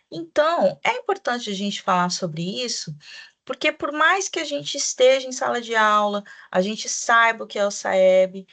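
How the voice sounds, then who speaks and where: Over a quiet background, a woman talks at a moderate pace in a fairly high, bright, sharp voice with very wide pitch swings. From Brazil, Mato Grosso do Sul (Campo Grande). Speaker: teacher trainer, Portuguese teacher. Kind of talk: online training presentation for teachers. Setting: recorded video presentation.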